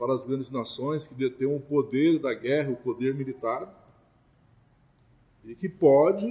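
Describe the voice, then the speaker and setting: Speaking at a very slow pace, this man has a fairly high pitch and a somewhat breathy quality. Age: 60s. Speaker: spiritist lecturer. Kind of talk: religious lecture.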